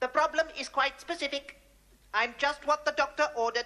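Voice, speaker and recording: A put-on, robotic character voice runs high in pitch at a fairly quick pace. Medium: comedy sketch. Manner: clipped, precise, mechanical.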